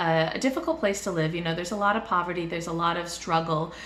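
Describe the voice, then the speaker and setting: Medium-pitched female speech amid noticeable background noise. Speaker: book reviewer. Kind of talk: casual book review to camera.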